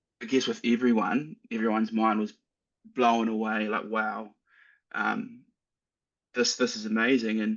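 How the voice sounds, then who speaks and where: In a New Zealand accent, a man speaks at a moderate pace with monotone, flat intonation. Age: 20s. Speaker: AI consultant. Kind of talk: interview. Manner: halting.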